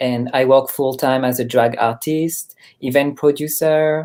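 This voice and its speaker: The speaker has a French accent and talks at a fairly slow pace. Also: very clean recording, silent background. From France, Paris. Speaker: drag artist and activist. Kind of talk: interview conversation.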